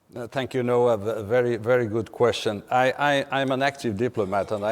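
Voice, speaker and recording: A man speaks with a Portuguese accent at a fairly quick pace. His intonation stays fairly even. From Portugal. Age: 50s. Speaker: diplomat. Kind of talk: panel discussion. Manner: halting.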